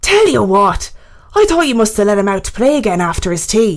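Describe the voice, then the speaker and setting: A woman puts on a gruff character voice with an Irish accent, pitched fairly high. She talks at a fairly quick pace. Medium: read story. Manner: gruff, offhand.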